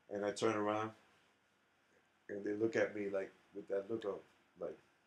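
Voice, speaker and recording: With a New York accent, a man talks at a moderate pace in a fairly low pitch. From New York City, South Bronx. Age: 60s. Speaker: jazz drummer and educator. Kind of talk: interview conversation. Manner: animated.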